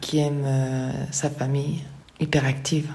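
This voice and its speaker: With audible room echo, a woman speaks fairly slowly at a very deep, low pitch in a monotone, flat intonation. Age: 50s. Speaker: person living with multiple sclerosis. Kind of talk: testimony. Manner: halting.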